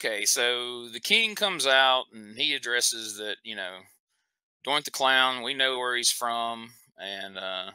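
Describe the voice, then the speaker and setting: Speaking at a fairly slow pace with a Southern US accent, a man uses a medium pitch and a bright, sharp tone, with big swings in loudness. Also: ordinary pitch variation. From US South. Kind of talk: casual chat.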